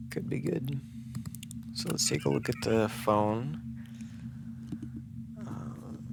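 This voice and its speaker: Speech comes very slowly, broken by long, frequent pauses. Pitch varies in an ordinary way over noticeable background noise. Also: man, medium pitch for a man. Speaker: gaming youtuber. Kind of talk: gameplay commentary. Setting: home recording at night. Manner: whispering; halting.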